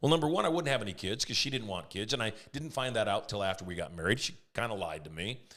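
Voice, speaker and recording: Very fast and with hardly any pauses, a man with a fairly low pitch speaks in a bright, sharp tone, his pitch swinging very widely. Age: 60s. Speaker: podcast guest, entrepreneur and mentor. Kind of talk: podcast interview. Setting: podcast studio. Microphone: Rode broadcaster studio mic.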